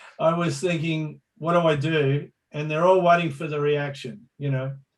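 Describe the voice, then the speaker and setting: A man with an Australian accent, fairly high in pitch, monotone and flat, at a moderate pace. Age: 60s. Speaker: pro surfer and surf reporter. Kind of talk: casual interview storytelling.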